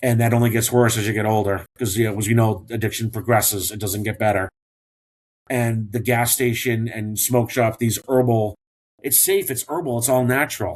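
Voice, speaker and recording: Somewhat breathy and medium in pitch, a man talks at a moderate pace with fairly even intonation. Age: 50s. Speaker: former firefighter in addiction recovery, training counselor. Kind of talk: podcast interview.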